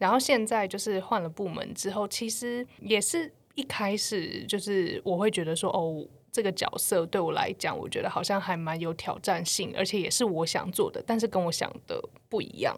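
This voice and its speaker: Through noticeable background noise, a woman speaks at a medium pitch and a moderate pace. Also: ordinary pitch variation. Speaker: podcast co-host, marketing professional. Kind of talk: casual chat. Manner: hesitant.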